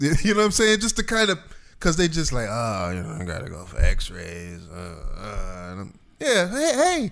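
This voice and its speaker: A man speaks at a moderate pace in an animated tone, his loudness swinging widely, with audible room echo around him. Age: 30s. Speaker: podcast co-host. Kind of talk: casual chat.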